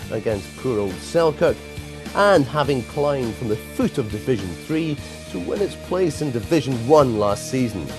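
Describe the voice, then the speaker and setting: A man talks at a moderate speed, his pitch swinging very widely, with music playing behind him. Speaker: celebrity chef. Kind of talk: promotional narration.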